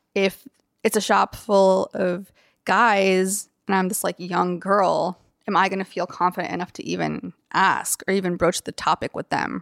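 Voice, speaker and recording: A fairly slow, American-accented voice with vocal fry and fairly even intonation comes through dry and close with no echo, on a very clean recording with a silent background. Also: woman. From US South, Athens, Georgia. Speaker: tattoo artist. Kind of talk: interview.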